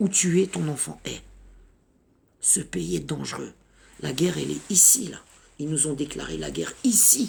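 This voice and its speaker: A woman speaks at a fairly slow pace in an animated tone. She leaves long, frequent pauses. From Paris suburbs, France (Sarcelles, Val-d'Oise). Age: 50s. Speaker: activist mother. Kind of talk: impassioned video message.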